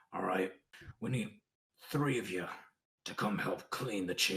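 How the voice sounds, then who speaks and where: Putting on a character voice, a man sounds raspy and gravelly at a fairly low pitch, with a moderate pace and ordinary pitch variation. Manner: commanding.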